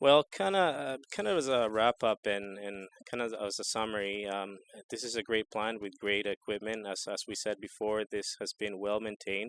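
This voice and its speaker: With a Spanish accent, a man speaks at a fairly low pitch and a moderate pace, his intonation fairly even and the sound dry and close with no echo. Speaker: equipment salesperson. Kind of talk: interview. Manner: halting, many repeated words.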